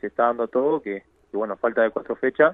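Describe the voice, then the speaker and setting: A man talks at a moderate pace with ordinary pitch variation. His is an unremarkable speaking voice. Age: 30s. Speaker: professional footballer. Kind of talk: radio interview.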